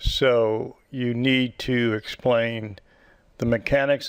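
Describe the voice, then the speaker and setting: A man speaks with an American accent. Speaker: physician lecturer. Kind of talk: lecture.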